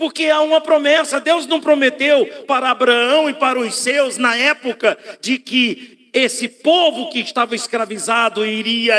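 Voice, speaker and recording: A man's raised, projected voice at a fairly slow pace, with ordinary pitch variation and noticeable background noise. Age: 60s. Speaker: pastor. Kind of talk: sermon. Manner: animated.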